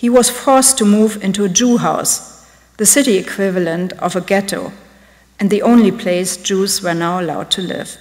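A woman speaks at a medium pitch and a moderate pace. Her pitch varies in an ordinary way over a quiet background. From Germany. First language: German. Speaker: art curator; lecturer. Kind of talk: lecture. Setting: stage with audience. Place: hall. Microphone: podium.

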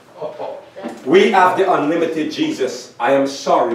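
A man's moderately paced voice amid light background noise and audible room echo. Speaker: pastor. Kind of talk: sermon. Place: church. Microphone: camera far.

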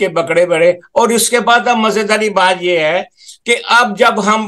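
A man talks fairly slowly, his pitch varying in an ordinary way, with a quiet background behind him. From Pakistan. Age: 80s+. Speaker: charity volunteer and Urdu writer. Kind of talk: interview. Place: home room. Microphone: video call.

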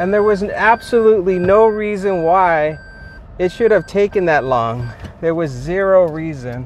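A man's high-pitched voice with lively intonation, dry with no echo, over light background noise. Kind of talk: casual vlog chat. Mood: frustrated, complaining. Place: car. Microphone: phone near.

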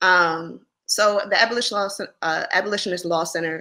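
A woman speaks with a Philadelphia accent. The background is quiet. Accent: Philadelphia American English. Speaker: lawyer. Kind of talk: interview. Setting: video call. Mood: serious, measured advocacy. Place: home room.

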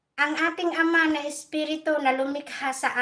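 A woman projects a raised voice with a bright, sharp tone, keeping fairly even intonation at a moderate pace. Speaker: vlogger. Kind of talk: angry rant, sarcastic scolding of rally protesters, live-stream style. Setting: live stream, from Europe. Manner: sarcastic, combative and emphatic, blunt and defiant; repetitive, with "no?" and "guys" tags.

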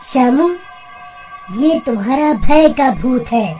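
A female-sounding voice moves at a fairly slow pace over clear background noise. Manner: calm, reassuring, mildly teasing.

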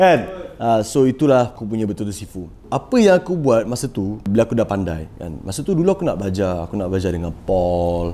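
A man's fairly low voice, with lively intonation and a fairly quick pace. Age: 20s. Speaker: podcast host and trader; podcast host. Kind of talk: casual chat. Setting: studio. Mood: relaxed, chatty storytelling. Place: studio. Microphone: lapel.

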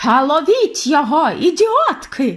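A shrill, female-sounding put-on character voice at an extremely high pitch goes at a fairly slow pace on a very clean recording with a silent background. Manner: screeching, furious.

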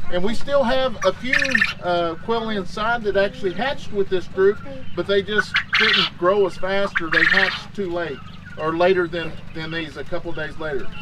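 Against loud background noise, a man speaks at a moderate pace with ordinary pitch variation. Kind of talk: casual vlog chat. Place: garden. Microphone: camera far.

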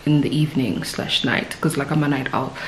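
A woman with a very deep, low voice is heard over light background noise, with audible echo from the room. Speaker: vlogger. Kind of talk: casual vlog chat. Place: home room. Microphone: phone near.

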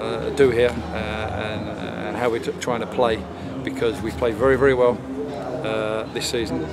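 A man speaks at a moderate pace. There is loud background noise. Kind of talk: post-match interview answer. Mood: disappointed but measured. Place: stadium.

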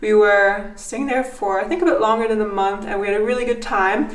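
Audible room echo surrounds a woman speaking with fairly even intonation. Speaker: vlogger. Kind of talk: casual vlog chat. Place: home room. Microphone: phone near.

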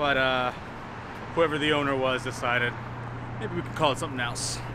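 A man talks at a fairly quick pace with monotone, flat intonation. The sound is dry with no echo, and there is noticeable background noise. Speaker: vlogger. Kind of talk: casual vlog chat. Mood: wry, joking. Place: street. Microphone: phone near.

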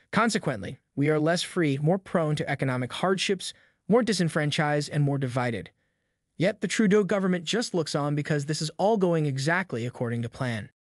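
Against a quiet background, a man with an ordinary speaking voice talks at a fairly quick pace and a fairly high pitch. His intonation is lively, and the sound is dry and close with no echo. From Canada. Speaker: political commentary narrator. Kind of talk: scripted narration.

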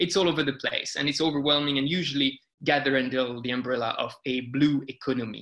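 Very fast, a man talks in a bright, sharp, fairly high voice with fairly even intonation. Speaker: marine sustainability researcher. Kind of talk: webinar lecture. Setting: video call. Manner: hesitant, many fillers.

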